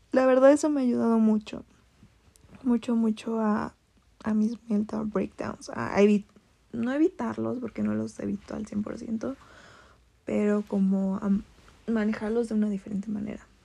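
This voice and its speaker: The voice has a dark, mellow tone and fairly even intonation, moving at a fairly slow pace with long, frequent pauses. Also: woman, fairly high pitch for a woman. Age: 20s. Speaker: podcaster. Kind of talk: personal monologue. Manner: casual, hesitant.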